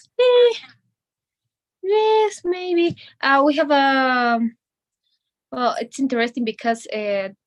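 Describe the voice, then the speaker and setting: With a Bolivian accent and a high pitch, a woman speaks at a very slow pace, with very wide pitch swings and long, frequent pauses. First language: Spanish. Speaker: medical student. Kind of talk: language lesson conversation. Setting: video call. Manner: halting. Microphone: bad internet connection, freezing.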